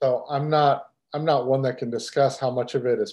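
Speaking with an American accent, a man holds a medium pitch in a monotone, flat intonation. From Texas. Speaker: podcast host. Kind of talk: casual chat.

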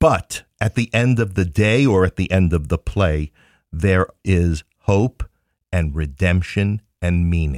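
Very slow, very even in loudness, a man with a very deep, low pitch and ordinary pitch variation, on a very clean recording with a silent background and a dry, close sound without echo. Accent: New York. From Queens, New York. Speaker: theater company founder. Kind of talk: casual interview chat.

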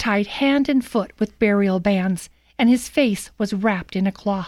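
A woman speaks in a solemn, dramatic tone at a fairly slow pace, her fairly high pitch showing ordinary variation. The recording is very clean with a silent background. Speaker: scripture reader, radio commentator. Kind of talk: scripture reading aloud, dramatic narration. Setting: studio. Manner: solemn, measured, dramatic.

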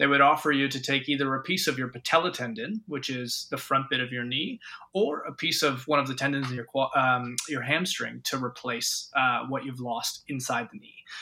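A man with a Canadian accent speaks at a moderate pace with hardly any pauses, his fairly high pitch showing ordinary variation, his tone bright and sharp and his loudness swinging widely. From Ontario, Canada. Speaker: doctor, medical consultant. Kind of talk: expert interview.

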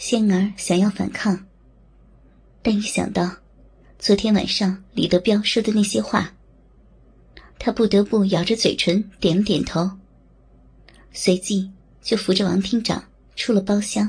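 Speaking at a fairly slow pace, a woman with a somewhat breathy, medium-pitched voice holds a monotone, flat intonation and very even loudness, leaving long, frequent pauses against a quiet background. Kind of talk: dramatic ASMR audio-drama narration. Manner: slow, intimate, theatrical, shifting between narrator and leering male character voices.

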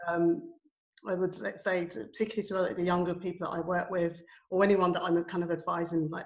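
A woman with a London accent speaks at a moderate pace in a fairly low pitch. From London, England. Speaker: education and community arts practitioner. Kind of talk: panel discussion.

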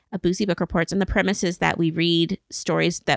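Recorded very cleanly against a silent background, a woman speaks at a fairly low pitch with vocal fry. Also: dry, close sound with no echo. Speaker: podcast host. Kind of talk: casual chat. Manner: fast talker, chatty.

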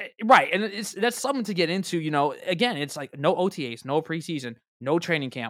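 A man's high voice with very wide pitch swings at a fairly quick pace, in a very clean recording with a silent background. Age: 30s. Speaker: sports podcast host. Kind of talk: casual chat.

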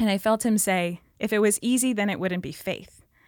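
A woman with an Upper Midwest accent speaks at a moderate pace and medium pitch with fairly even intonation, recorded very cleanly with a silent background. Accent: Upper Midwest (Minnesota). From northern Minnesota, rural. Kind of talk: faith testimony in casual interview.

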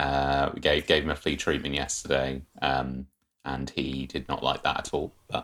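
In an English accent, a man speaks at a very deep, low pitch. His intonation is monotone and flat. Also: moderate pace. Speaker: podcast guest. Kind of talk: casual chat.

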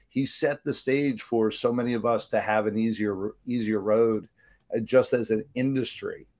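Here is a man with a plain, everyday voice, his pitch medium. He keeps a moderate pace and fairly even intonation. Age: 50s. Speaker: podcast host and business coach. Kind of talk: casual interview. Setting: live online broadcast.

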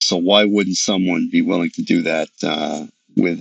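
A man talks at a fairly slow pace, his voice dry and close with no echo. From New York City. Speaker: professor of retail. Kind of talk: interview. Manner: halting, many fillers.

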